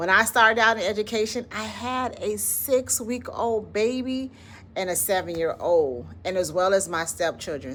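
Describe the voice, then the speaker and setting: A woman with a Southern accent at a moderate pace. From US South, Florida. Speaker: educator and channel founder. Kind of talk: motivational talk to camera. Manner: conversational, informal.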